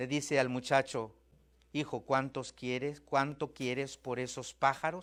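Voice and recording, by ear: The text is read aloud in a natural voice.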